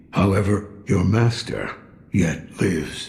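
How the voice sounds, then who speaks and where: A man's put-on character voice, raspy and fairly low, at a fairly slow pace. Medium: video game. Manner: gruff, dry.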